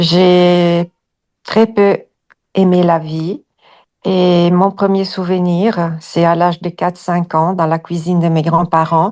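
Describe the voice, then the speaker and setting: Against a quiet background, a woman speaks at a very slow pace in a flat monotone, with long, frequent pauses. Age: 60s. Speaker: hypnosis client. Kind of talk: personal testimony. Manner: halting, many hesitations.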